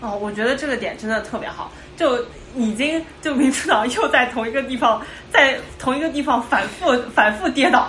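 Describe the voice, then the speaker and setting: A woman's high voice at a moderate pace with ordinary pitch variation, amid audible room echo and noticeable background noise. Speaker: programmer. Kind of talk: casual chat. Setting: video call.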